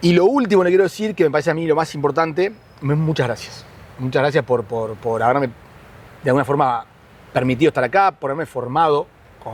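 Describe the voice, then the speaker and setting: A man with a fairly high voice talks at a fairly quick pace with lively intonation, broken by long, frequent pauses. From Uruguay, Montevideo (La Teja). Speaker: neighborhood resident interviewee. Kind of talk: interview testimony. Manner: halting, repeats words.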